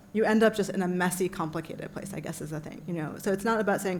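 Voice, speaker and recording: In a room with audible echo, a woman speaks very fast at a medium pitch, her intonation fairly even. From US, immigrant family. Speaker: panelist, translator. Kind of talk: panel Q&A answer. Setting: conference panel with audience. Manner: halting, many fillers.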